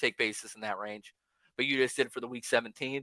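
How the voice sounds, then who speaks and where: In a very clean recording with a silent background, a man talks very fast with a bright, sharp tone and a dry, close sound with no echo. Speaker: fantasy football streamer. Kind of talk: live stream commentary. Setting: live stream. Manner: loud; casual, rapid filler-heavy.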